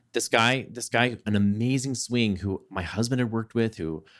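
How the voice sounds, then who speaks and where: A man speaks in a normal speaking voice with an American accent at a medium pitch. The recording is very clean, the background silent. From Southeast Texas. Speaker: Broadway actor and life coach. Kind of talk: casual interview chat.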